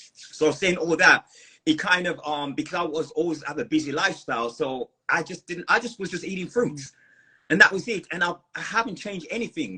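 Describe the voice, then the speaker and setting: Someone with an American accent speaks at a fairly quick pace with ordinary pitch variation. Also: man, high pitch for a man. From New York. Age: 50s. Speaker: fruitarian lifestyle guest. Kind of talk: interview. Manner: halting.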